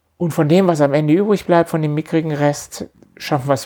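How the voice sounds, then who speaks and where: A man is talking. His pace is very fast. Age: 50s. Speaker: company managing director. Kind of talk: interview conversation.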